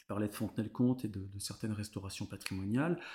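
A man's dark, mellow, somewhat breathy voice. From France, Vendée (Bocage). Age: 30s. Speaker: cultural heritage worker. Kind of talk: casual interview chat. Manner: hesitant, many fillers.

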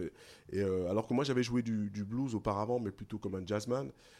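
In an ordinary speaking voice, a man talks at a moderate pace with a fairly low pitch and ordinary pitch variation on a very clean recording with a silent background. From Paris region, France (Guadeloupean parents). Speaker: blues musician, singer. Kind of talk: interview.

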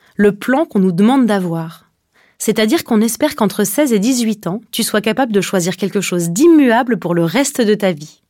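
Over a silent background in a very clean recording, a woman with an unremarkable speaking voice talks at a moderate pace with medium pitch and lively intonation. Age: 20s. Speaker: podcast host. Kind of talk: scripted narration.

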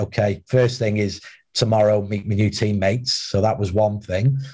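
With a North Wales accent, a man speaks at a fairly low pitch in a dark, mellow, somewhat breathy tone and fairly even intonation, on a very clean recording with a silent background. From Wales, Wrexham. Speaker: former footballer, academy recruitment head. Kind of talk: interview. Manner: halting.

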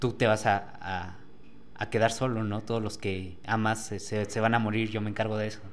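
There is audible room echo as a man speaks at a fairly low pitch. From Mexico, Tlaxcala. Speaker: guest sharing paranormal experience. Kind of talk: testimony. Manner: halting, many repeated words.

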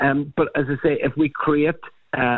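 The speaker is a man with a Northern Irish accent. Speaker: politician, party health spokesperson. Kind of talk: radio interview.

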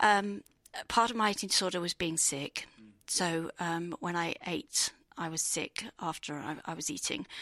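Bright and sharp in an English accent, this voice has lively intonation and a fairly slow pace, with a dry, close sound with no echo on a very clean recording with a silent background. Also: woman. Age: 50s. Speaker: marathon runner, navy veteran. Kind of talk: personal testimony. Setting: expo studio.

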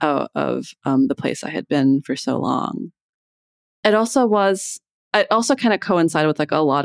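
Lively intonation at a moderate pace comes through a very clean recording with a silent background and a dry, close sound with no echo. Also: woman. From US Midwest, Iowa. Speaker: novelist. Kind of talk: casual interview chat. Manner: hesitant, many fillers.

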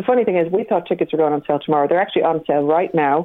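With a Dublin accent, a woman speaks in a very deep, low voice with ordinary pitch variation. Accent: Dublin Irish. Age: 50s. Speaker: comedy writer and promoter. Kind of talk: casual chat. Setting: phone call.

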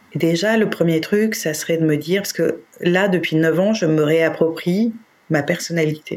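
Over noticeable background noise, a woman talks at a moderate pace, her fairly low pitch showing ordinary variation. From France, Paris. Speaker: interviewee, separated mother. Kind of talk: personal testimony. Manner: hesitant, many fillers and repetitions.

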